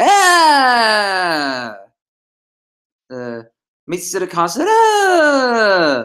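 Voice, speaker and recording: Shouting in a shrill, put-on character voice with a fairly high pitch, the speaker goes at a very slow pace with long, frequent pauses. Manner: shrill scream ending on the same tone.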